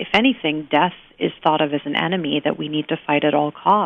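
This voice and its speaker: A woman talks at a fairly quick pace, her pitch very deep and low. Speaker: palliative care doctor and author. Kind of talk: interview. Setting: phone call. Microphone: buzz on the phone line at first.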